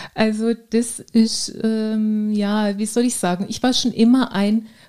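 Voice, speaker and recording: In a very clean recording with a silent background, a woman speaks at a fairly high pitch with a dark, mellow tone. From Baden, southwest Germany (Ortenau). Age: 40s. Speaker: fitness trainer and nurse. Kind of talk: casual interview.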